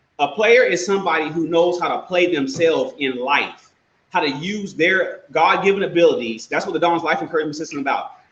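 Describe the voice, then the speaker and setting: Audible room echo surrounds a man with an American accent. His pitch is high and his intonation lively. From Texas. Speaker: life coach and personal trainer. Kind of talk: casual interview chat. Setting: live video stream. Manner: fast; energetic.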